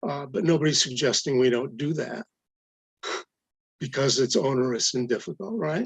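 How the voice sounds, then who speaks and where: A man's somewhat breathy voice with lively intonation and long, frequent pauses. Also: medium pitch for a man, moderate pace. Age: 70s. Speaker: adjunct professor testifying. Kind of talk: public hearing testimony. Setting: public hearing, live streamed.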